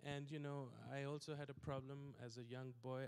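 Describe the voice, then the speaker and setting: The pace of this man's speech is fairly slow, his pitch medium. Flat and monotone, his intonation hardly shifts. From South Asia. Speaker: pastor. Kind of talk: sermon. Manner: halting, many fillers.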